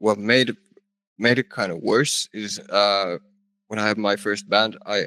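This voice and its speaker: Bright and sharp in tone, a man with a Finnish accent talks at a fairly low pitch, the sound dry and close with no echo. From Finland. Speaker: rock band vocalist. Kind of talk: casual interview chat.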